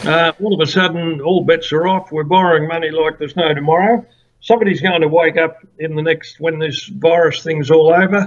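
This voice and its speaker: This man speaks with an Australian accent at a moderate pace. His pitch is high, with ordinary pitch variation. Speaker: former political candidate. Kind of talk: interview.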